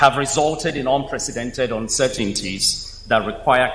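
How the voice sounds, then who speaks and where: Noticeable background noise accompanies a man talking at a moderate pace and medium pitch with lively intonation. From Africa, Nile Valley region. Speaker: space engineer, invited speaker. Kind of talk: keynote speech. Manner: formal.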